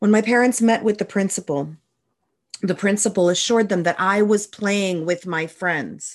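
Here is an ordinary speaking voice with ordinary pitch variation. The background is quiet. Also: woman, medium pitch for a woman, moderate pace. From Canada, New Brunswick (Moncton). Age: 30s. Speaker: podcast host. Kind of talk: personal testimony monologue.

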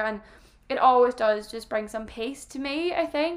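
At a fairly quick pace, a woman talks with an Irish accent. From Ireland. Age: 20s. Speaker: podcaster. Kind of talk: solo casual monologue.

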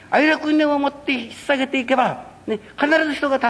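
A man's extremely high-pitched voice at a fairly quick pace, with fairly even intonation over noticeable background noise. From Japan, Fukuoka (Kurume). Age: 60s. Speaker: religious minister. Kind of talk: public lecture.

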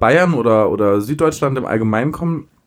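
A man speaks with a southern German accent. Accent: rolled R, southern German. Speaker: podcast co-host. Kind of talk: casual chat.

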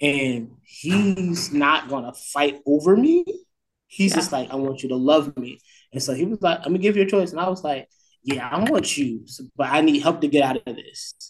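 A man with a fairly high pitch talks at a moderate pace, with ordinary pitch variation. His is an ordinary speaking voice. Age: 20s. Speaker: campus minister. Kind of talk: casual chat.

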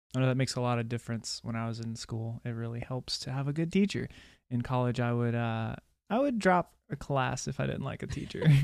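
A man's normal speaking voice at medium pitch, with ordinary pitch variation, a fairly quick pace and a very clean recording over a silent background. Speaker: podcast co-host. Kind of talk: casual chat.

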